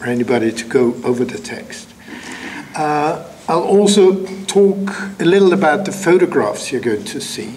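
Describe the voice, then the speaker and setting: Over noticeable background noise and audible room echo, someone with a non-native accent talks at a moderate pace with very wide pitch swings. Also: man. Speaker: writer and lecturer. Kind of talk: lecture. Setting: lecture hall with audience. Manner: halting with fillers.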